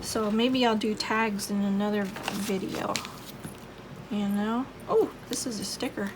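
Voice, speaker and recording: A woman speaks at a very slow pace with a fairly high pitch. Noticeable background noise runs behind her. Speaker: crafting YouTuber. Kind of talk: casual crafting tutorial.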